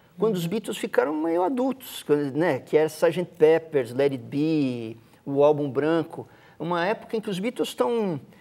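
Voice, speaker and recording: A man with a fairly high pitch, a dark, mellow tone and lively intonation at a moderate pace. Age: 50s. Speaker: musician. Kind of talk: casual chat.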